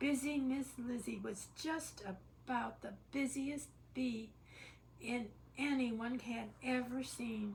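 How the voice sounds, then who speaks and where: A woman in a raspy, put-on character voice speaks at a high pitch and very slow pace amid clear background noise. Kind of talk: bedtime story. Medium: read story. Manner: casual, chatty asides.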